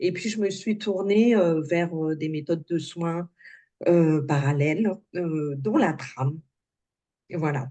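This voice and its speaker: The tone is dark and mellow. Delivery is very slow, with long, frequent pauses. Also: woman, fairly low pitch for a woman, ordinary pitch variation. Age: 60s. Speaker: alternative therapy practitioner. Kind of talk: interview. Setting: video call. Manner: halting, many hesitations.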